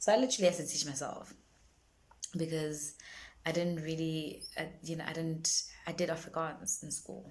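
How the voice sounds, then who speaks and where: Speaking at a moderate pace with ordinary pitch variation, a woman with a fairly low pitch leaves long, frequent pauses, her loudness swings widely, and room echo is audible. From South Africa, Durban. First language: isiZulu. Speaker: singer-songwriter. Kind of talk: casual vlog monologue. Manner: halting, many fillers and repetitions.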